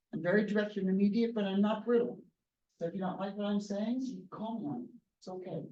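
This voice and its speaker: Audible room echo surrounds a woman's dark, mellow tone with ordinary pitch variation. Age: 70s. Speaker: engineering professor. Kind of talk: lecture. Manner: direct.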